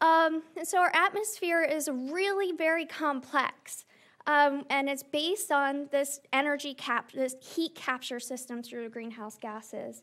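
Against a quiet background, a woman with a high voice speaks fairly slowly with ordinary pitch variation. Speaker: environmental science lecturer. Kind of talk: interactive workshop. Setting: stage with audience. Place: hall. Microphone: podium.

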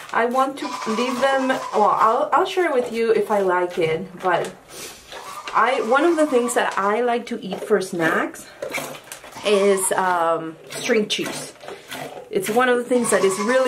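A woman talks rather slowly as background noise clearly carries behind her. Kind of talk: casual vlog chat. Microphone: phone near.

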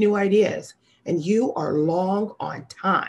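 The woman speaks with an American accent at a medium pitch. The background is quiet. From US Midwest, St. Louis suburbs, Missouri; Missouri. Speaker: sales executive. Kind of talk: keynote speech. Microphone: webcam.

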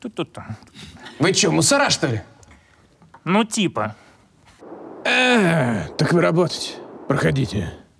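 Putting on a gruff character voice, a man speaks at a moderate pace with fairly high pitch and long, frequent pauses. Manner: gruff, slangy, suspicious.

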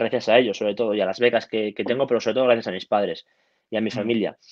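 A man talks at a very fast pace with fairly even intonation, the sound dry with no echo and the background quiet. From Cantabria, Spain (Santoña); Cantabria, Spain. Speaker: judo athlete; guest. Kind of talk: interview. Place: home room. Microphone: earbuds.

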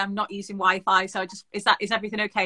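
A woman's bright, sharp tone comes through against a quiet background. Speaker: remote guest. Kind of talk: interview answer. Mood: cheerful, laughing. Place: workshop. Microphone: video call.

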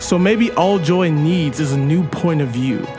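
Over clear background music, a man speaks at a very slow pace. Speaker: spoken word poet. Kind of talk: spoken word poetry performance. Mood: earnest, reverent, hopeful. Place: open country.

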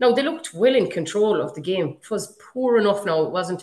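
A woman with an Irish accent speaks with ordinary pitch variation amid audible room echo. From Galway, Ireland. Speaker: podcast host. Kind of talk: casual chat. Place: home room. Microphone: webcam.

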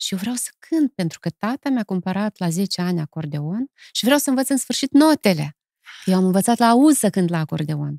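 With a dark, mellow tone, a woman of medium pitch makes very wide pitch swings at a moderate pace, in a dry sound with no echo and a quiet background. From Moldova. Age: 50s. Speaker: poet and song lyricist; poet. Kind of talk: casual interview. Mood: warm, reflective, smiling at times. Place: studio. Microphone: studio mic.

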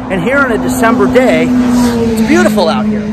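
The speech comes with loud background noise and a dry sound with no echo. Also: man. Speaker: vlogger. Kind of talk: casual vlog commentary. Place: street. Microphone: phone near.

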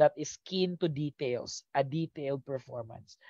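Against a quiet background, a man speaks at a fairly slow pace. The sound is dry, with no echo. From Philippines. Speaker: teacher; exam review coach. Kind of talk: live online review lecture; online lecture. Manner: animated. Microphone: headset.

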